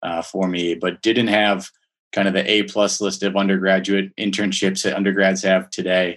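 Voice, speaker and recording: A man talks at a moderate pace with an American accent. His pitch is fairly low. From Minnesota. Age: 30s. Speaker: finance professional. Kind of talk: interview. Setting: call.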